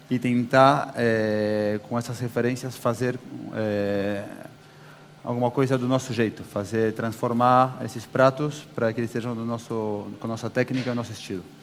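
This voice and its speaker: Over noticeable background noise, a man with a medium pitch speaks at a moderate pace in a flat monotone. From Brazil, São Paulo. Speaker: chef. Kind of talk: on-stage interview. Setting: stage with audience.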